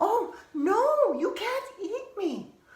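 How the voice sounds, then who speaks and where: A put-on character voice, female-sounding and squeaky, hits an extremely high pitch. There is slight echo on the clip. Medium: read story. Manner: hesitant, stammering.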